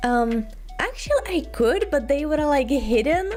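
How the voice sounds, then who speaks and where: A woman with a non-native accent talks at a moderate pace in a high voice with lively intonation. Noticeable background noise is present. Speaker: vtuber streamer. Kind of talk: casual chat. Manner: halting, many fillers.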